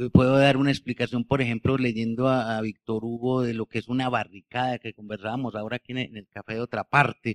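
Speaking at a fairly quick pace, a man with a medium-pitched voice keeps a monotone, flat intonation while his loudness swings widely, the sound dry and close with no echo. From Colombia, Bello (Antioquia). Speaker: novelist. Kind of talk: book presentation conversation. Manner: halting, frequent repetitions.

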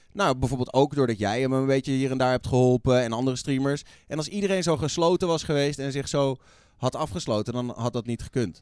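Very fast and at a medium pitch, a man speaks with ordinary pitch variation on a very clean recording with a silent background. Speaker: radio host and streamer. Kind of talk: casual chat. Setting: studio.

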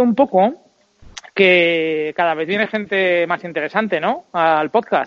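A man's high voice at a fairly slow pace, with ordinary pitch variation. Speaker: podcast co-host. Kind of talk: casual chat.

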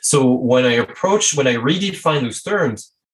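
Speaking with a French accent at a fairly slow pace, a man's medium-pitched voice makes very wide pitch swings. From France. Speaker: strategy consultant and coach. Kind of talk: interview conversation.

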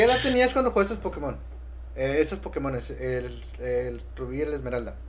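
A man with a Mexican accent speaks at a fairly quick pace amid audible room echo. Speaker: gaming podcast host. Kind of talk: casual chat. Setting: live stream on Twitch. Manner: animated.

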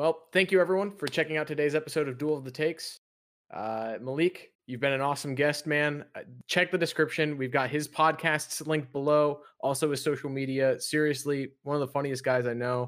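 A man's unremarkable speaking voice, fairly high in pitch, with fairly even intonation at a fairly quick pace. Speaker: podcast host. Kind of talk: casual chat.

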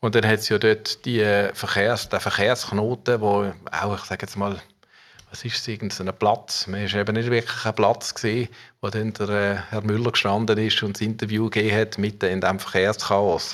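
At a moderate pace, a man speaks in a monotone, flat intonation at a fairly low pitch, on a very clean recording with a silent background. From Basel region, Switzerland (Muttenz). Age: 50s. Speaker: civil engineer and rail project manager. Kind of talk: interview. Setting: office.

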